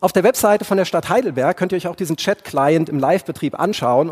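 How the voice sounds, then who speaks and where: This man talks at a fairly quick pace. His voice has vocal fry. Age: 40s. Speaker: podcast host and tech speaker. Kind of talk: keynote talk. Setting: stage with audience.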